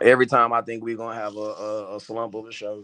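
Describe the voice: At a moderate pace, a man speaks in a fairly low voice with a fairly bright tone and fairly even intonation.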